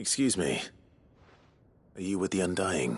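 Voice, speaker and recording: Over a quiet background, a man puts on a raspy character voice with a very deep, low pitch, a moderate pace and lively intonation. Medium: video game. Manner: calm, direct.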